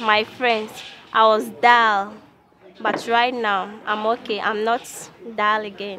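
In a Ghanaian accent, a woman talks at a fairly high pitch with fairly even intonation and long, frequent pauses. The sound is dry with no echo, over light background noise. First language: not English. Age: young. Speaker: music and dance student. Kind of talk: interview answer. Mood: grateful, cheerful. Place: street.

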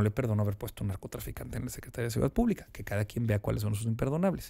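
Against a quiet background, a man with a Mexican accent talks in a dark, mellow tone. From Mexico. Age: 30s. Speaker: politician. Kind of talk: interview. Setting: studio. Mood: firm, critical. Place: studio. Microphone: studio mic.

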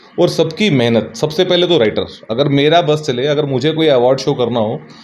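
With a Bihari accent and lively intonation, a man speaks at a moderate pace in a fairly high pitch. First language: Bhojpuri (speaking Hindi). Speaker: music composer; interviewee. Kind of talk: interview. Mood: relaxed, cheerful. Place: home room. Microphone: handheld.

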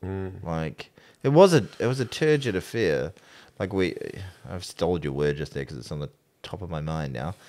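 Very wide pitch swings from a man with a very deep, low voice and a New Zealand accent, at a moderate pace broken by long, frequent pauses. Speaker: sports podcast co-host. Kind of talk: casual chat. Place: studio. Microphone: studio mic.

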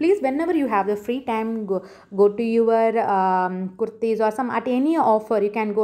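A woman with a Tamil Indian accent, fairly high-pitched with a dark, mellow tone, at a moderate pace on a very clean recording with a silent background. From India, Tamil Nadu. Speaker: YouTuber, shopping tips. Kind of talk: tutorial. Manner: halting, many fillers.

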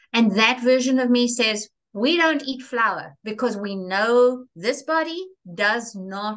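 A woman speaks at a fairly slow pace with very wide pitch swings against a quiet background. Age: 60s. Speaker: reinvention coach; interview guest. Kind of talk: interview. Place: home room. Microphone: video call.

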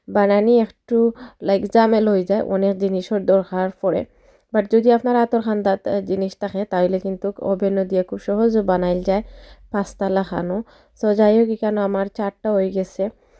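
A woman speaks at a medium pitch with a dark, mellow tone and a monotone, flat intonation. The sound is dry and close, with no echo. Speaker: cooking vlogger. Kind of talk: cooking tutorial. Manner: loud.

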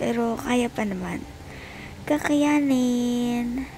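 With a tired tone, a woman sounds strained, keeping a fairly even intonation over light background noise. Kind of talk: casual vlog chat. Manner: weak, strained, tired voice in labor pain. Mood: tired, enduring pain. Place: home room. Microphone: phone near.

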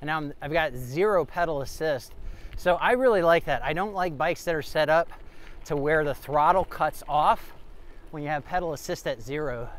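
With a plain, everyday voice, a man speaks at a moderate pace, his pitch fairly high and its variation ordinary, in a dry sound with no echo. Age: 50s. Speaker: e-bike reviewer. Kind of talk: ride-along commentary; product review. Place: bicycle. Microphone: phone near.

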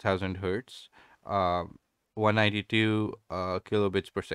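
Recorded dry with no echo over a quiet background, a man speaks with fairly even intonation. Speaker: tech reviewer. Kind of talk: product review. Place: home room. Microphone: studio mic.

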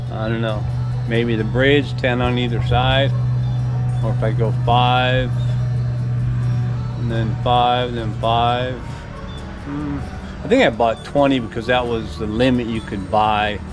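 Over clear music in the background, a man speaks at a very slow pace with long, frequent pauses and ordinary pitch variation. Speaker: home vlogger. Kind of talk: casual vlog chat. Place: garden. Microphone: phone near.

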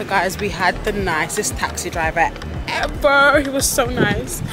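A woman talks while music plays behind her. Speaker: travel vlogger. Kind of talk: casual vlog chat. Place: street. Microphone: phone near.

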